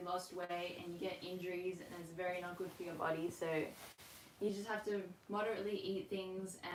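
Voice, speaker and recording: A woman with an Australian accent talks at a moderate pace and a medium pitch. Audible room echo and noticeable background noise fill the recording. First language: Russian. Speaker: rhythmic gymnast and coach. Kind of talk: online class Q&A. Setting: livestream from home. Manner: casual, filler-heavy.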